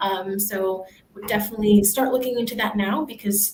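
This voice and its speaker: Fairly quick in pace, a woman with an American accent uses an ordinary speaking voice at a medium pitch with ordinary pitch variation. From United States. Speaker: university staff, former international student. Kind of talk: panel Q&A.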